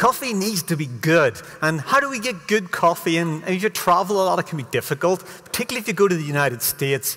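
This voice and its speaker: A man speaks at a fairly quick pace, his pitch swinging very widely. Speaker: conference speaker. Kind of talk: lecture. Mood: humorous, lively. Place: stage.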